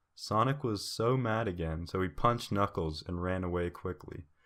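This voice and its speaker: Soft-spoken and fairly low in pitch, a man talks at a moderate pace on a very clean recording with a silent background. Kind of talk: fan fiction reading.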